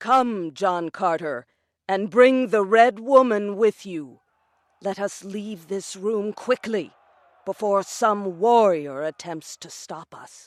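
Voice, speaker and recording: A woman performs a put-on character voice at medium pitch and a fairly slow pace. The recording is very clean with a silent background, dry and close with no echo. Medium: audio drama. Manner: calm, earnest.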